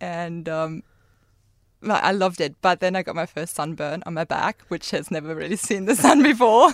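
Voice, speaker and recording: In a very clean recording with a silent background, a woman with a German accent speaks at a moderate pace, her fairly low pitch showing ordinary variation. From Germany. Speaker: former au pair. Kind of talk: casual chat.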